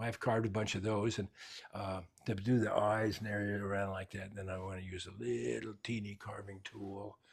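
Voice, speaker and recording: At a moderate pace, a man with a fairly low, somewhat breathy voice speaks on a very clean recording with a silent background. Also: ordinary pitch variation. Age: 80s+. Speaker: woodcarver. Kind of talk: interview during shop tour. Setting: home workshop. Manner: halting, repetitive.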